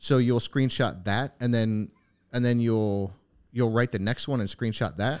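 Recorded very cleanly against a silent background, a man uses a medium pitch, fairly even intonation and a fairly slow pace in an ordinary speaking voice. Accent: American. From upstate New York. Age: 30s. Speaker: podcast host. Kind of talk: casual interview chat, with sponsor read.

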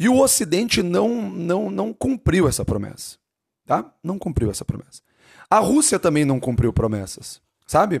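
With an animated tone and vocal fry, a man of fairly high pitch swings very widely in pitch at a moderate pace, in a dry, close sound with no echo on a very clean recording with a silent background. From Brazil, Curitiba, Paraná. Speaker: teacher. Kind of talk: casual lecture.

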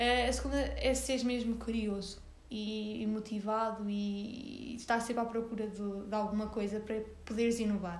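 With a northern Portuguese accent, a woman speaks in a fairly high pitch and a monotone, flat intonation at a moderate pace, with audible room echo. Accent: European Portuguese, northern interior. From Portugal, Sernancelha (Viseu district, interior north). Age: 20s. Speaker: young entrepreneur, marketing worker. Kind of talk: casual interview. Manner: halting, many fillers and repetitions.

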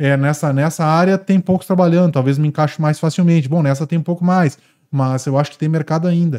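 On a very clean recording with a silent background, a man speaks at a fairly quick pace with very even loudness. His voice has a fairly high pitch, a dark, mellow tone and fairly even intonation. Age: 30s. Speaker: equine veterinarian. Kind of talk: casual interview.

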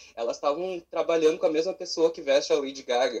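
The man's intonation is lively and his delivery fairly quick. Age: 20s. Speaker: drag performer. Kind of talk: casual chat. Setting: video call.

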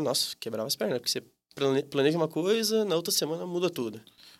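The speech races at a very fast pace with hardly any pauses, swinging very widely in pitch. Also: man. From Brazil, Campinas (São Paulo state). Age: 20s. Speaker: tapioca shop owner. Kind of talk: casual interview. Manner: hesitant, many fillers.

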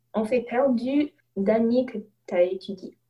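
A woman with an English accent speaks at a very slow pace. Her dark, mellow tone carries lively intonation. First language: English (speaking French). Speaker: student podcast host. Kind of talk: casual interview chat. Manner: halting, hesitant.

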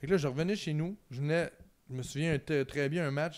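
This man has an unremarkable speaking voice with a fairly high pitch. His pitch varies in an ordinary way. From Quebec, Trois-Rivières. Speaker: sports analyst and former university football player. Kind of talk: casual interview chat. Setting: home garage studio.

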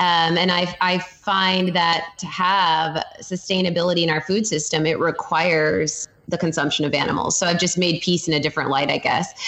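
Noticeable background noise sits behind a woman with a fairly low pitch, who speaks with hardly any pauses, fairly even intonation and very even loudness. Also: moderate pace. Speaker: dietitian. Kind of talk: casual interview.

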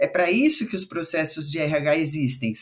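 The voice is somewhat breathy, moves at a moderate pace and has very wide pitch swings. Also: woman. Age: 50s. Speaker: diversity and inclusion consultant. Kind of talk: casual chat.

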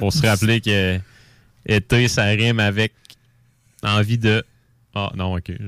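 A man speaks at a very slow pace and fairly low pitch, with long, frequent pauses. His intonation stays fairly even, and the sound is dry and close with no echo. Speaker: beer columnist. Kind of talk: casual beer review segment. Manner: hesitant, many fillers.

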